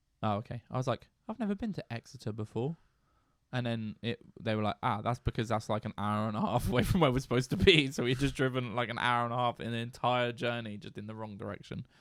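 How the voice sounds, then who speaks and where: A man with a British accent talks at a very fast pace in a medium pitch, with ordinary pitch variation. The sound is dry and close, with no echo. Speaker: music podcast co-host. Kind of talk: casual chat.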